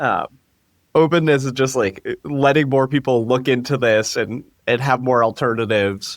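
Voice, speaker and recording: A man at a medium pitch and moderate pace, with fairly even intonation, on a very clean recording with a silent background. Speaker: AI researcher. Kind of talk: podcast interview. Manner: mumbling.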